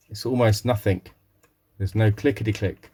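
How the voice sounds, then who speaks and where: A man speaks at a fairly low pitch with monotone, flat intonation. His voice is somewhat breathy. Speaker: retro console repairer. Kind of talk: tutorial. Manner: casual, hesitant with fillers.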